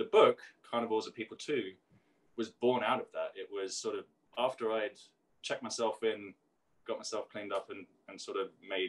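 A man talks at a fairly quick pace with an American accent. His loudness swings widely, and he takes long, frequent pauses. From South London, England; London. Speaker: singer-songwriter and author; interviewee. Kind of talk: interview. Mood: reflective, candid. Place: kitchen. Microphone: video call.

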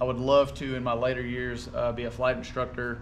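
A man speaks at a moderate pace with light background noise. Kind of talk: casual vlog chat. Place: garage. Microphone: camera far.

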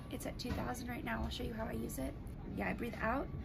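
A woman speaks with music in the background. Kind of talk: casual vlog chat. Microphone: phone near.

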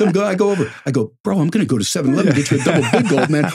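A man talks at a very fast pace with vocal fry. The background is quiet. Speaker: sportscaster / sports broadcaster. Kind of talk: casual storytelling in a podcast interview. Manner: animated, conversational, enthusiastic. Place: studio. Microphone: studio mic.

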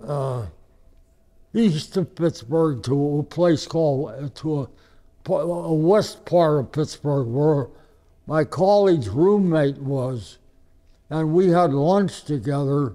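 A man with an American accent speaks very slowly with a fairly high pitch, ordinary pitch variation and a dark, mellow tone over a quiet background. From Ohio. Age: 80s+. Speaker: war veteran. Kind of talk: interview. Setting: hospital. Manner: halting.

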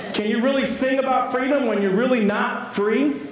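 Talking at a fairly quick pace, a man shows ordinary pitch variation. Light background noise and audible room echo are present. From US East Texas. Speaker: pastor. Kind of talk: sermon. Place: church.

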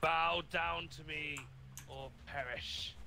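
Clear background noise behind a man doing a put-on character voice. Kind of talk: commanding and threatening. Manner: mock-menacing.

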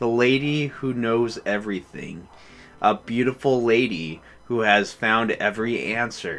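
This is plain reading aloud. The clip consists of plain reading aloud.

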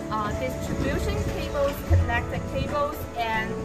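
The speaker talks at a fairly slow pace. Loud music plays in the background. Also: woman. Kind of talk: tutorial. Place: shop.

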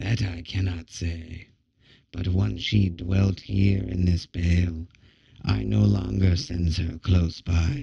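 Delivered in a put-on character voice, the speech unfolds at a fairly slow pace. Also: man, very deep, low pitch for a man. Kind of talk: oracular pronouncement. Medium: read story. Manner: ominous, muttering, prophetic.

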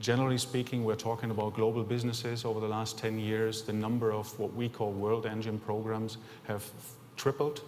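A man with a German accent, fairly quick pace, monotone and flat intonation, light background noise. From Germany. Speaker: company executive. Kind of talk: conference presentation. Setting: stage with audience. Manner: halting. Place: hall. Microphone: podium.

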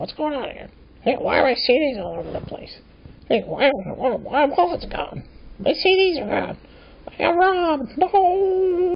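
Pitched high, a put-on character voice moves at a fairly slow pace. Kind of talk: comic overacting. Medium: comedy sketch. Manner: exasperated, comic overacting.

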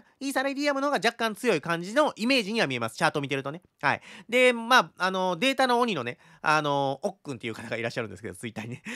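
A man at a very fast pace, high-pitched and bright, sharp in tone, with very wide pitch swings and big swings in loudness over a quiet background. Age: 30s. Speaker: crypto chart analyst YouTuber. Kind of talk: market analysis tutorial. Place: home room. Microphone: studio mic.

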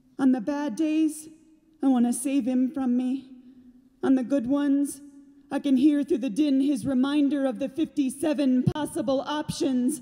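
In a dramatic, intense tone that is also dark and mellow, a woman speaks at a high pitch and fairly slow pace, with fairly even intonation against a quiet background. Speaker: slam poet. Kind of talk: spoken-word poetry performance. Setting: theater stage with audience. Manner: intense, emphatic, rhythmic, urgent delivery; dramatic, building to defiant, rallying peaks. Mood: raw, emotional. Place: stage. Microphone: studio mic.

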